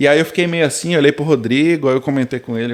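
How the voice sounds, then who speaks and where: Here a man is talking at a fairly quick pace. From Brazil. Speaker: tech worker immigrant. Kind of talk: casual chat. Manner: animated storytelling.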